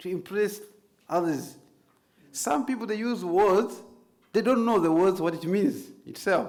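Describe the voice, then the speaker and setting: Over audible room echo, a man with a non-native accent speaks at a fairly slow pace, leaving long, frequent pauses. His pitch is high, with ordinary variation. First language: not English. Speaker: Islamic preacher and trainer. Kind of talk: lecture.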